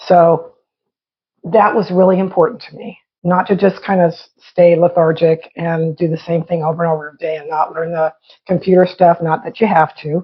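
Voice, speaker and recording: Her voice is fairly low and somewhat breathy, with fairly even intonation. This woman's loudness swings widely. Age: 60s. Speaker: podcast co-host. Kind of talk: casual chat.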